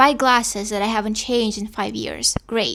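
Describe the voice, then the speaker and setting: A woman speaks at a fairly high pitch with a Russian accent. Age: 20s. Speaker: podcaster. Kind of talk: reading aloud a personal monologue.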